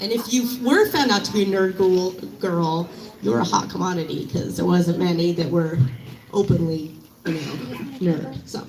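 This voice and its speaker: A woman's medium-pitched voice at a moderate pace, with very wide pitch swings, audible room echo and noticeable background noise. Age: 30s. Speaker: fan at memorial tribute. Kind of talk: public tribute speech.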